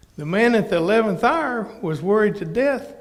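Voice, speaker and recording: A man with an American accent, high-pitched, at a moderate pace with lively intonation and audible room echo. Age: 60s. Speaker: minister. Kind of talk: interactive Bible teaching. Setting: church.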